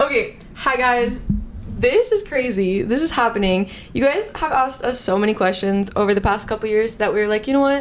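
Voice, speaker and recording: A woman with an American accent speaks at a fairly quick pace in a fairly high pitch, with ordinary pitch variation, very even loudness and noticeable background noise. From Arizona, US. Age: 20s. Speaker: ballet photographer. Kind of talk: casual chat.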